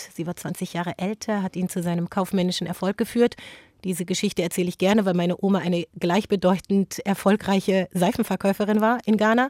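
A woman with a plain, everyday voice speaks at a fairly quick pace and a medium pitch. Her intonation is fairly even, and the sound is dry and close with no echo. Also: very clean recording, silent background. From Germany, Frankfurt am Main. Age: 40s. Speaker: author and journalist. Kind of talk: interview.

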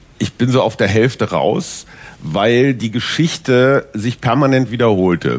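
A man with vocal fry speaks fairly slowly at a medium pitch, with ordinary pitch variation and very even loudness. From Westphalia. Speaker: newspaper columnist. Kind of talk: panel discussion. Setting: stage with audience.

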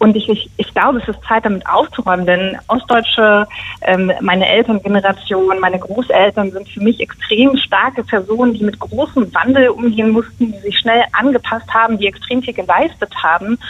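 This woman has a plain, everyday voice with a fairly high pitch and ordinary pitch variation. She talks at a moderate pace with hardly any pauses. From Mecklenburg, northern East Germany. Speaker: journalist, initiative co-founder. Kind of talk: radio interview.

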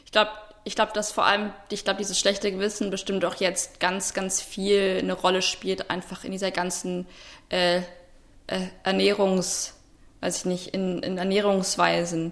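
Her medium-pitched voice is monotone and flat, with big swings in loudness, as the woman speaks at a moderate pace. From Potsdam, Brandenburg, Germany. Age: 20s. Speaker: student podcast host. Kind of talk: casual chat. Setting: remote, audio-only link. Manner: hesitant, many fillers.

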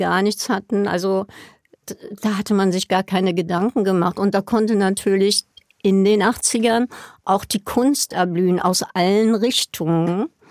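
On a very clean recording with a silent background, a woman with an unremarkable speaking voice talks at a moderate pace and medium pitch. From Berlin (West). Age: 60s. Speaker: party scene veteran. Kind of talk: interview recollection.

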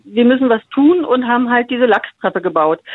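High-pitched woman's voice at a moderate pace, with ordinary pitch variation. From Berlin-Brandenburg, Germany. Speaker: radio listener, kindergarten worker. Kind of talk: phone interview. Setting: phone call.

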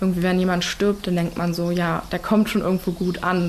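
Over noticeable background noise, a woman speaks in a fairly low pitch with monotone, flat intonation. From Berlin. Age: young. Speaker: nursing trainee. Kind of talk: interview.

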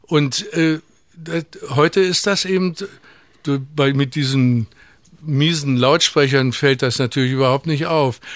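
A man's fairly high voice at a very slow pace, with ordinary pitch variation, very even loudness, and long, frequent pauses. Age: 80s+. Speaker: sound engineer and music producer. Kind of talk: casual interview. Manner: halting.

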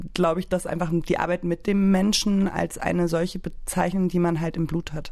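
At a moderate pace, a woman speaks with a dark, mellow tone and a fairly low pitch. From Berlin, Germany. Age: 30s. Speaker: artist and photographer. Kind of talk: casual discussion. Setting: studio.

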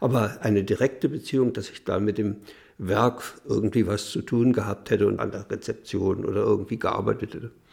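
A man speaks with vocal fry at a fairly quick pace, with ordinary pitch variation. The recording is very clean, with a silent background. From Mecklenburg, northern Germany. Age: 80s+. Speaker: retired printing engineer, interviewee. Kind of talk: interview recollection.

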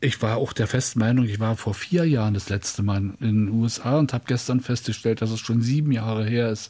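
A man with a medium-pitched voice and a dark, mellow tone speaks at a fairly quick pace with hardly any pauses. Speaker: music presenter. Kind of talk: casual chat. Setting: studio. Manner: more lively since retirement.

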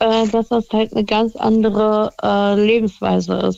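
Fairly high in pitch, a woman with a normal speaking voice talks with fairly even intonation. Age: 20s. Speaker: caller. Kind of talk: phone-in chat.

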